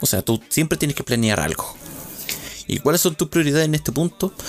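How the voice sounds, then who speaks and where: A man speaks with a Chilean accent over noticeable background noise. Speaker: podcaster. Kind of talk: solo monologue. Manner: halting.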